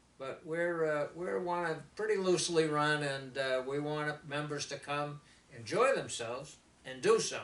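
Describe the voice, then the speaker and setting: A man with a fairly high pitch and ordinary pitch variation talks at a moderate pace, noticeable background noise behind him. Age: 70s. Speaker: service club member. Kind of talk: casual interview.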